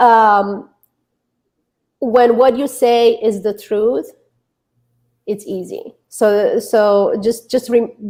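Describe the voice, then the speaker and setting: Speaking very slowly with long, frequent pauses, a woman with a slight Romanian accent has a fairly high pitch, a dark, mellow tone and fairly even intonation. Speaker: author and relationship coach. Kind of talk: interview. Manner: halting.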